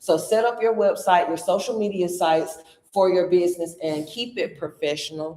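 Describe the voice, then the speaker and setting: In a Southern US accent, a woman talks at a moderate pace with ordinary pitch variation. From US South, rural Georgia. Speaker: business coach and speaker. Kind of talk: workshop presentation. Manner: loud; animated.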